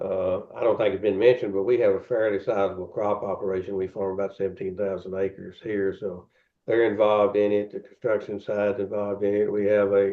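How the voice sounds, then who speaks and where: The speaker has a Tennessee accent and talks at a very fast pace. The intonation stays monotone and flat. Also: man. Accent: US Southern (Tennessee). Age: 70s. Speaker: pork producer CEO. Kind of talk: interview. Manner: halting, many fillers and repeats.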